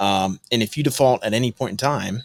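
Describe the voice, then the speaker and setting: A man with an American accent speaks at a medium pitch with fairly even intonation in a very clean recording with a silent background. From US Midwest (northwest Ohio). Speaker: real estate investor. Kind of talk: podcast interview.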